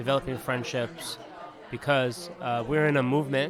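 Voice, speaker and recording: Over crowd noise and audible room echo, a man talks at a moderate pace with a medium pitch and fairly even intonation. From Palestinian. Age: 30s. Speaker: activist. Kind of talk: casual interview.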